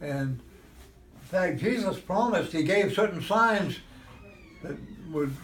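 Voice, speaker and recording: A man's high voice at a very slow pace, with lively intonation, big swings in loudness, long, frequent pauses, and noticeable background noise. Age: 80s+. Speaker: clam fisherman. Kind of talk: interview answer.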